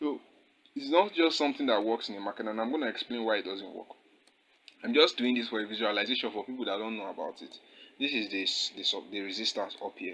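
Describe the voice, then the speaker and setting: A man's medium-pitched voice, bright and sharp in tone, at a very fast pace. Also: ordinary pitch variation. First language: not English. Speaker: forex trading teacher. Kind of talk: tutorial. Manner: casual, with fillers.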